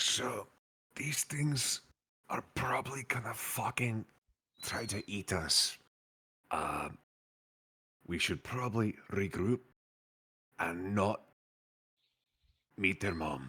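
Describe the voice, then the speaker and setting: A man whispers quietly in a raspy, put-on character voice. He goes at a very slow pace with long, frequent pauses. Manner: whispering, hushed and conspiratorial.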